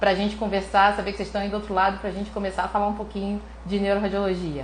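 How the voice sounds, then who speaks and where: Audible room echo surrounds a woman speaking in a somewhat breathy voice with an animated tone. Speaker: neuroradiologist teaching online. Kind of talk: live stream lecture. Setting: live stream. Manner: fast.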